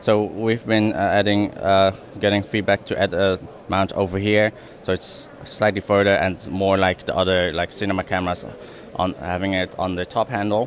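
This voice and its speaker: Over noticeable background noise, a man with a fairly low voice speaks at a moderate pace in a monotone, flat delivery. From Netherlands. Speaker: filmmaker and brand ambassador. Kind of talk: trade show product demo.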